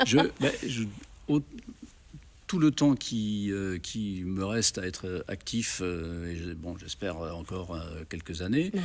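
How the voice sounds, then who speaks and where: A very slow pace with long, frequent pauses and lively intonation, on a very clean recording with a silent background. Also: man, very deep, low pitch for a man. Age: 70s. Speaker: festival organizer, former radio and TV program director. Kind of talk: interview. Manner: hesitant, many fillers.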